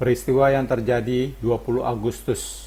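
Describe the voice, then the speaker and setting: A man's medium-pitched voice with vocal fry, monotone, flat intonation, and a moderate pace. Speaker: voice-over narrator. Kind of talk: scripted narration. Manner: formal.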